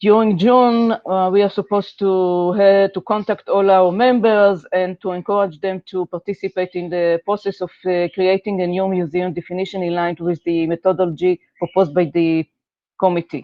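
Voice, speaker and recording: A woman at a moderate pace, with hardly any pauses and fairly even intonation. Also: medium pitch for a woman. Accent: non-native. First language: not English. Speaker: working group chair. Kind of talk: online meeting presentation. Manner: halting.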